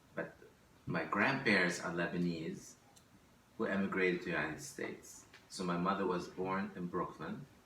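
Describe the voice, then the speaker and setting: The voice has fairly even intonation, with audible room echo and noticeable background noise. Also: man. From Lebanon. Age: 60s. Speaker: immigrant interviewee. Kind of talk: oral history interview. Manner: halting, with fillers and restarts.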